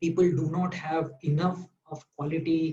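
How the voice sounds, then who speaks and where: The tone is dark and mellow, with fairly even intonation. The speaker has a Marathi accent. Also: man. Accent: Indian English, Marathi. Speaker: doctor. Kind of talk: interview. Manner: halting, many fillers.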